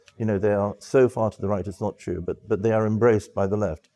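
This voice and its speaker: In a British accent, a man speaks with a fairly low pitch and a dark, mellow tone against a quiet background. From England, London (from age nine). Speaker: former press officer and journalist. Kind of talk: interview monologue. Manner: halting, many fillers and repeats.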